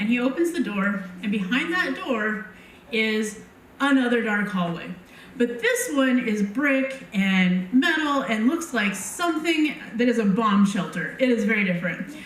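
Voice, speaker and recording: A woman speaks at a fairly slow pace with a fairly high pitch and lively intonation over noticeable background noise. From Montana. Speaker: storyteller. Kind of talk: live personal storytelling. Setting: live stage.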